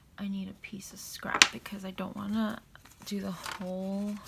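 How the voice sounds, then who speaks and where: A woman whispering and mumbling at a fairly slow pace, with noticeable background noise. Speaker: papercraft tutorial creator. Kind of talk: tutorial. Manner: soft-spoken.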